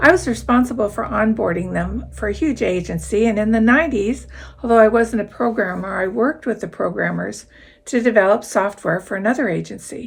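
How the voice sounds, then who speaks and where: Her fairly high voice has vocal fry and lively intonation. The woman speaks at a moderate pace. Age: 70s. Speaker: YouTuber and full-time RVer. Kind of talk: talking-head vlog advice. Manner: conversational.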